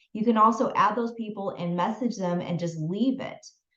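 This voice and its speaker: A woman with a plain, everyday voice, a fairly high pitch and ordinary pitch variation. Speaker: business and mindset coach. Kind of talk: online masterclass.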